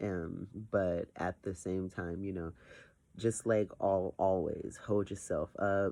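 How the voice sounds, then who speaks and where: In a quiet setting, a man with a very deep, low pitch and a dark, mellow tone speaks at a very slow pace. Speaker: vlogger. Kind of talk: casual vlog monologue. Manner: hesitant, many fillers.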